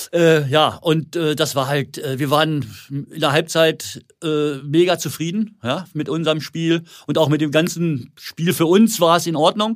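A man has a normal speaking voice, fairly high in pitch. He talks at a fairly slow pace with fairly even intonation. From Lower Saxony, near Hildesheim. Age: 60s. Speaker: former footballer, football school owner. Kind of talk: casual interview.

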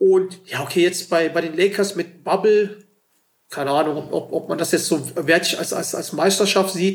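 Fairly even intonation marks this man's moderate-paced speech. His pitch is high. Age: 30s. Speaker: basketball podcast host. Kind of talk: casual chat.

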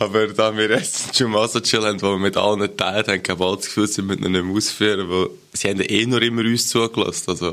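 Speaking with hardly any pauses, a man keeps a fairly low pitch, flat monotone intonation and very even loudness against noticeable background noise. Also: fairly quick pace. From Switzerland. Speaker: podcast co-host. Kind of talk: casual chat.

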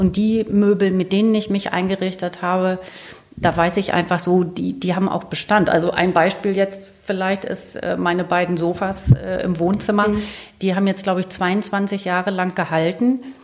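Noticeable background noise sits behind a woman at medium pitch. She speaks at a moderate pace with monotone, flat intonation. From northern Germany, Lower Saxony (Celle). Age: 50s. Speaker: interior and architecture journalist. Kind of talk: casual interview. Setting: at home in her kitchen.

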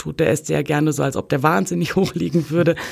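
A woman speaks at a very deep, low pitch. Vocal fry runs through her voice. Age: 30s. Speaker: social scientist and football fan activist. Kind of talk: interview. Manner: hesitant, many filler sounds.

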